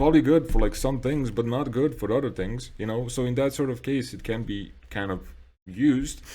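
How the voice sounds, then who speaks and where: A man talks at a fairly quick pace with a medium pitch and ordinary pitch variation. His tone is dark and mellow, with vocal fry. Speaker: video essayist. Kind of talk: unscripted monologue. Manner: halting, many fillers and repetitions.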